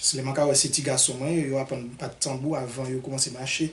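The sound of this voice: With audible room echo, a man speaks fast at a medium pitch.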